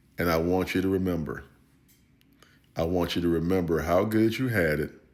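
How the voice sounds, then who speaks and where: A man with an American accent and a very deep, low pitch talks at a fairly quick pace, keeping very even loudness and fairly even intonation amid audible room echo. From United States. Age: 60s. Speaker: retired army veteran. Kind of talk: political commentary. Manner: impassioned.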